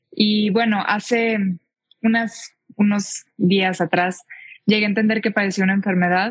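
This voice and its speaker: Her voice is somewhat breathy. The woman's intonation stays monotone and flat. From Mexico, Tijuana. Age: 20s. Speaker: public speaker and equestrian rider. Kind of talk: testimony.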